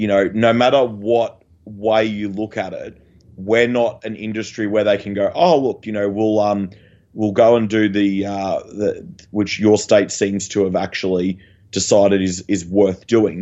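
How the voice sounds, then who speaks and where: A man speaks with an Australian accent at a fairly slow pace. His pitch is fairly low, with fairly even intonation. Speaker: waste industry podcast co-host. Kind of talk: casual chat. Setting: video call. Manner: halting.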